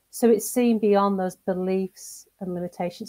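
A woman with a northern English accent speaks at a moderate pace in a medium pitch with a dark, mellow tone, the sound dry and close with no echo. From northern England, seaside town. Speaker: executive coach and mentor. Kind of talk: interview.

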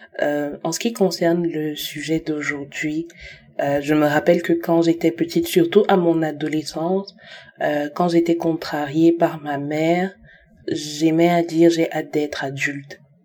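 A woman's fairly slow, fairly low-pitched voice, dark and mellow in tone, with monotone, flat intonation. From Cameroon. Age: 20s. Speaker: testimony contributor. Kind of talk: recorded testimony.

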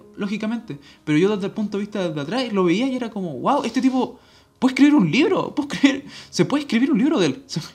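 Music plays in the background as the speech goes at a very fast pace. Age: 20s. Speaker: podcast host. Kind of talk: solo monologue. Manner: halting.

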